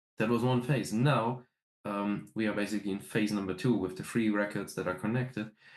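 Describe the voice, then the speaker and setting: The speaker has a slight German accent and a fairly quick pace. Intonation stays fairly even over a quiet background. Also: man, fairly low pitch for a man. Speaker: metal band musician. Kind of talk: interview. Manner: hesitant, many fillers.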